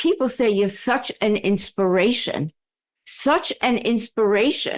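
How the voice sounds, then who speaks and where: A woman with an ordinary speaking voice talks at a fairly slow pace and a fairly high pitch, her intonation lively against a quiet background. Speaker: communication coach. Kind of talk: podcast interview host talk.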